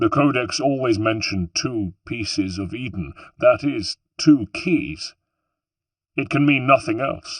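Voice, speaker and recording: Against a quiet background, a man puts on a gruff character voice at a medium pitch, speaking at a fairly slow pace with lively intonation. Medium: read story. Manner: gruff, blunt.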